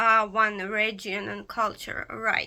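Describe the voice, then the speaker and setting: With a non-native accent, a woman speaks very slowly at a fairly high pitch. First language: not English. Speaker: pagan occultist YouTuber. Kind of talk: casual vlog explanation. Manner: halting, many fillers.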